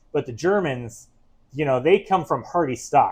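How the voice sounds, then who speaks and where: Against a quiet background, a man with an American accent talks at a fairly slow pace. His pitch is fairly high, and his intonation is lively. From US Midwest, St. Louis area. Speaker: comic book store host. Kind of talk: casual chat. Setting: live stream. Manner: casual with many fillers.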